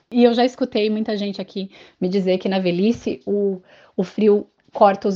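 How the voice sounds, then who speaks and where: Over a quiet background, a woman with a dark, mellow tone speaks at a moderate pace with fairly even intonation. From Brazil, Santa Catarina. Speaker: Brazilian expat, social media page creator. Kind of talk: casual explanatory commentary.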